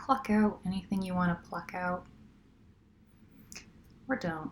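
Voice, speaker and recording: At a fairly slow pace, a woman talks in a relaxed, somewhat breathy tone with ordinary pitch variation. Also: medium pitch for a woman. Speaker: sleep story narrator. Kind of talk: sleep story, casual campfire-style storytelling. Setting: recorded on a laptop outside a studio, some background noise. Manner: relaxed, casual, unhurried.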